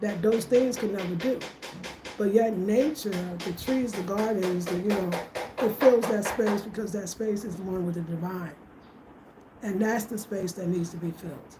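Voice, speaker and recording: With music in the background and audible room echo, a woman speaks at a moderate pace in a medium pitch with ordinary pitch variation. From United States. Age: 50s. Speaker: home design and wellness YouTuber. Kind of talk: casual livestream Q&A.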